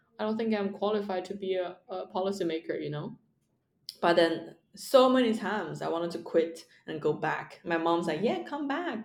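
A woman with a Chinese accent, medium pitch, animated tone and moderate pace. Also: ordinary pitch variation. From China. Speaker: stand-up comedian. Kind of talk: casual interview. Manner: animated, laughs often.

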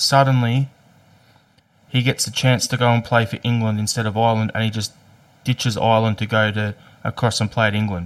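With an Australian accent, a man speaks at a fairly quick pace and medium pitch, his intonation monotone and flat, broken by long, frequent pauses. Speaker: podcast host. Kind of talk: casual chat.

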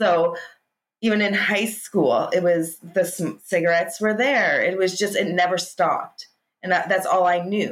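A woman with a Canadian accent speaks in an ordinary speaking voice at medium pitch. Her pace is fairly slow and her intonation fairly even. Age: 40s. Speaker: hypnotist, former smoker. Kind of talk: interview, personal testimony.

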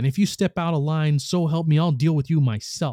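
Growling in an angry tone, a man does a put-on character voice at a fairly high pitch and a fairly quick pace. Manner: snarling, angry, threatening.

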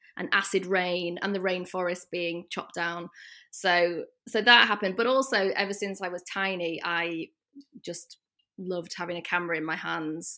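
A woman speaks at a moderate pace with a northern English accent, a medium pitch, fairly even intonation and a bright, sharp tone, on a very clean recording with a silent background. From northern England. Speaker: portrait photographer. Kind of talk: casual interview chat.

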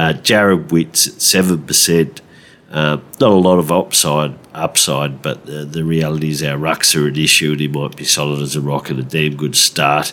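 Against noticeable background noise, a man with an Australian accent speaks at a moderate pace in a very deep, low pitch. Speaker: fantasy football podcast host. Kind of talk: casual chat. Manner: hesitant with many fillers.

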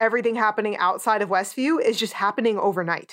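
Ordinary pitch variation runs through a woman's speech. Her voice sits fairly high in pitch. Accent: North Jersey. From New Jersey. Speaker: podcast host. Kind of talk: casual chat. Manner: animated.

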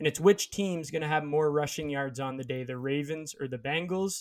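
The man has a plain, everyday voice, fairly high in pitch, at a moderate pace with fairly even intonation. The recording is very clean, with a silent background. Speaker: podcast host. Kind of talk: casual banter about football and betting. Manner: talkative, casual.

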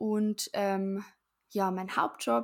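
The recording is very clean, with a silent background. A woman speaks at medium pitch. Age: 20s. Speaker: podcast co-host, physician assistant student. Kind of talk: casual chat.

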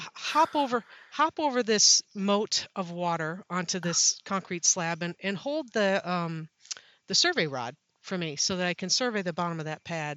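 Her intonation is lively. The woman keeps a moderate rate. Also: medium pitch for a woman. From Wisconsin, US Midwest. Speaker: safety professional, university program leader.

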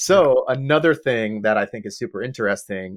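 A man talks at a moderate pace with an American accent. The sound is dry and close, with no echo. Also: very clean recording, silent background. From Long Island, New York. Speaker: AI safety company executive. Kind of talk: podcast interview.

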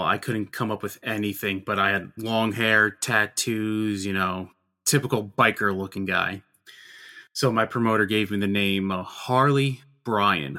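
In a very clean recording with a silent background, a man talks at a fairly slow pace, his bright, sharp tone pitched fairly low with fairly even intonation. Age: 30s. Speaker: toy designer and former wrestler. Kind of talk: interview.

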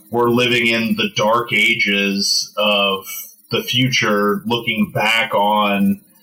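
A man is speaking. Noticeable background noise is heard. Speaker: archaeologist. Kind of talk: casual chat.

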